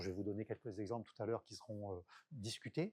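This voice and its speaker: Dark, mellow tone, dry and close with no echo. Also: man. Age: 60s. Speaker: public agency director giving a talk. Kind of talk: conference talk. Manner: hesitant, many fillers and repetitions.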